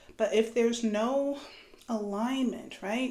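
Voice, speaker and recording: A woman speaks at a very slow pace with fairly even intonation. The room echo is audible. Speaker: astrology and tarot reader. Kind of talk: spiritual reading monologue. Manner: casual, conversational.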